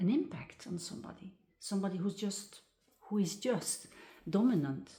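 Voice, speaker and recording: A woman talks at a moderate pace in a medium pitch, with ordinary pitch variation. Her tone is dark and mellow, and somewhat breathy. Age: 60s. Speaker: personal growth speaker. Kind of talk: casual personal talk. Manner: hesitant, many fillers.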